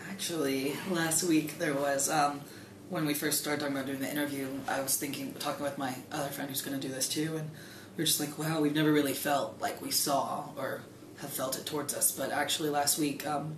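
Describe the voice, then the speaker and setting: Flat, monotone speech comes at a fairly quick pace. Noticeable background noise and audible room echo fill the recording. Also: man, fairly high pitch for a man. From Greensburg. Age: young. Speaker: college student. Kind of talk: interview.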